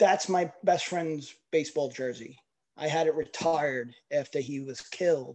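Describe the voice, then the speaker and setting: Someone speaks at a fairly slow pace with a New York accent. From New York City. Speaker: network marketing team member. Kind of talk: personal testimony.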